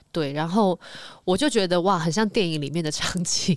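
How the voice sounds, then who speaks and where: Her medium-pitched voice moving at a very fast pace with lively intonation, a woman speaks in a very clean recording with a silent background. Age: 20s. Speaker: reality show contestant. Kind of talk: casual chat.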